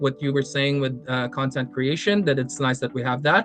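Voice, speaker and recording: A speaker with a non-native accent talks over music in the background. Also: man. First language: not English. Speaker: competitive card game player and content creator. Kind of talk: podcast interview. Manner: halting, many fillers and repetitions.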